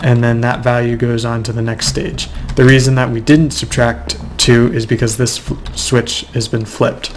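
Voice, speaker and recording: At a moderate pace, a man speaks with medium pitch and ordinary pitch variation over noticeable background noise. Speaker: Minecraft redstone tutorial maker. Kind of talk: screen-recorded game tutorial narration. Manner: casual, hesitant with fillers.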